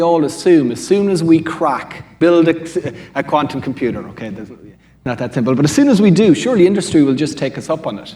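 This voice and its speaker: Fairly quick and fairly high in pitch, a man with an Irish accent speaks with lively intonation. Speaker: quantum computing panelist. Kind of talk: panel discussion.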